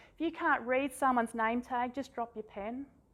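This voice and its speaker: A woman's high-pitched voice with an Australian accent at a moderate pace. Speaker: workshop presenter. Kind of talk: workshop presentation.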